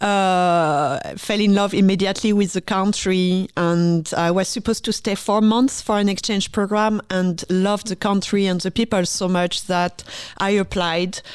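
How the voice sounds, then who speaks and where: A woman with a French accent talks at a moderate pace and medium pitch, with fairly even intonation and hardly any pauses. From France, Paris. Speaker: orchestra conductor. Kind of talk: interview.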